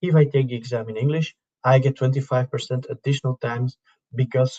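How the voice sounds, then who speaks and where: In a Dutch accent, a man with a medium pitch speaks at a moderate pace, somewhat breathy and monotone, in a dry, close sound with no echo. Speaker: syllabus working group chair, presenter. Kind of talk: webinar presentation. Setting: live online webinar.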